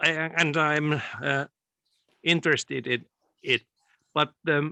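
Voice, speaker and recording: A man with a Finnish accent speaks at a very slow pace in a monotone, flat intonation, his fairly high pitch carrying a bright, sharp tone. The sound is dry and close with no echo, over a quiet background. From Finland, Tampere area. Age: 60s. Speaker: interviewee. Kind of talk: interview. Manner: halting.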